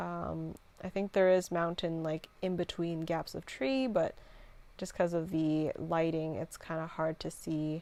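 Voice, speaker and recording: Relaxed in tone, a woman speaks at a fairly slow pace in a fairly low, dark, mellow voice with fairly even intonation. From Canada. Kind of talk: casual vlog voiceover. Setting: home, computer fan audible. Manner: sleepy, relaxed.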